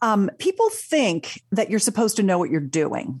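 Somewhat breathy, a woman speaks at a moderate pace with a fairly high pitch and very wide pitch swings. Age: 60s. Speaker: sex educator and author. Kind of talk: casual chat. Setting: studio.

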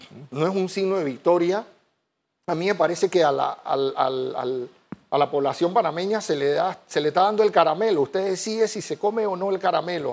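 A man with a high pitch speaks at a fairly quick pace, using ordinary pitch variation. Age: 40s. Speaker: infectious disease physician. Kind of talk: TV interview. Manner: halting, many repeated words.

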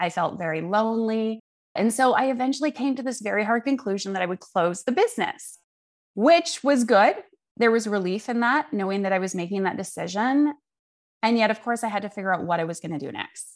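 A woman with a Canadian accent speaks in an ordinary speaking voice at a fairly high pitch and fairly quick pace, with lively intonation. The recording is very clean with a silent background. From Vancouver, Canada. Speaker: clarity coach. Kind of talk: interview.

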